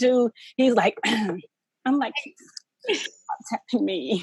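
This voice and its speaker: A woman speaks with lively intonation. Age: 30s. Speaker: author and mentor. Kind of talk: casual interview chat.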